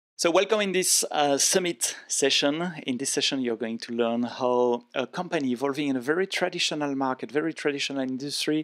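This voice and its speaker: Speaking with a French accent, a man with a fairly high voice talks at a fairly quick pace with ordinary pitch variation and hardly any pauses. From France. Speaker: event session host. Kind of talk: interview.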